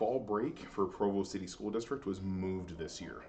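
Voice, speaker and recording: A speaker with an American accent, recorded with audible room echo. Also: man. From Missouri. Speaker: high school band director. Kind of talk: recorded presentation to parents. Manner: fast.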